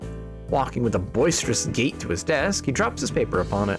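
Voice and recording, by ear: Text read aloud in a natural voice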